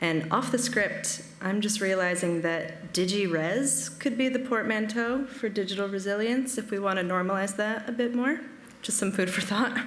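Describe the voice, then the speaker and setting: At a moderate pace, a woman speaks at a medium pitch with ordinary pitch variation and very even loudness, over noticeable background noise and audible room echo. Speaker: digital preservation analyst. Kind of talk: conference presentation. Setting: stage with audience, streamed.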